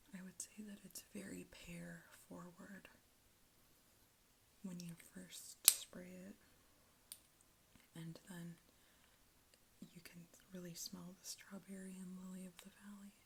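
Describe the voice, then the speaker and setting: The soft-spoken delivery goes at a fairly slow pace with long, frequent pauses. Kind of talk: ASMR product talk.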